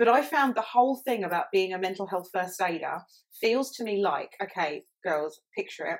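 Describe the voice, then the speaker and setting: Using a plain, everyday voice, a woman speaks at a moderate pace with medium pitch and lively intonation. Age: 30s. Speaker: mental health podcast co-host. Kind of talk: casual chat.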